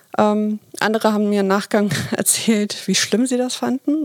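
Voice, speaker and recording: A woman's medium-pitched voice in a dry, close sound with no echo. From Hamburg, northern Germany. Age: 30s. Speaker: team leader. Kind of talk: podcast interview.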